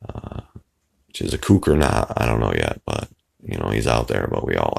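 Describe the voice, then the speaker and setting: There is vocal fry in this man's voice as he talks at a moderate pace. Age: old. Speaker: YouTuber discussing conspiracy theories. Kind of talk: casual vlog monologue. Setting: apartment, early morning. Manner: halting, many fillers.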